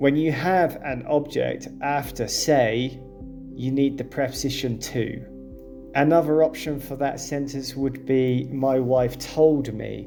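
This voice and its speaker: A man with a British accent speaks at a very slow pace in a calm tone, his pitch medium and his intonation flat and monotone. Music plays in the background. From UK. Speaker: English teacher. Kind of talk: English lesson narration. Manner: calm, clear.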